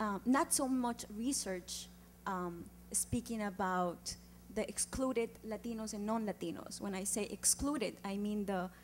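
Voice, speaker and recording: Somewhat breathy, a woman with an Andean accent speaks at a fairly slow pace in a medium pitch with ordinary pitch variation. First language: Quechua. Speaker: community organizer, audience questioner. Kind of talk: audience question at panel event. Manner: halting, many fillers.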